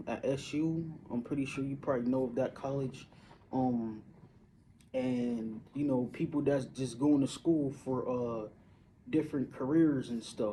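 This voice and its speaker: A man with an American accent, dark and mellow in tone, fairly slow, with ordinary pitch variation. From Syracuse, upstate New York. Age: 30s. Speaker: vlogger. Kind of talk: casual monologue. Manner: halting, many fillers.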